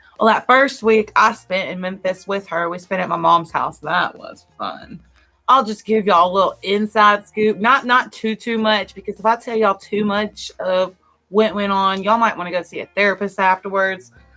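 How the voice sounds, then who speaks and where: A woman with a Southern US accent, medium pitch, moderate pace, fairly even intonation, and big swings in loudness, over music in the background. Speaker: podcast co-host. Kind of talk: casual chat.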